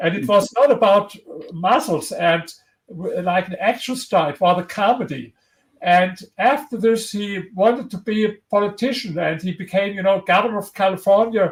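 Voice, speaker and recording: A man's high voice in a strong German accent, with big swings in loudness. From Germany. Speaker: historian and author. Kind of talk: interview. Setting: livestream video interview. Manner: halting, with repetitions.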